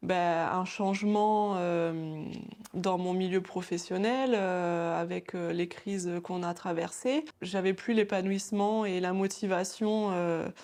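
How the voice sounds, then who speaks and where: Her pace is very slow, her pitch medium for a woman. She has a dark, mellow tone and fairly even intonation. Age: 30s. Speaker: former pharmacy assistant turned nail technician. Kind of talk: interview. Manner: halting, many hesitations.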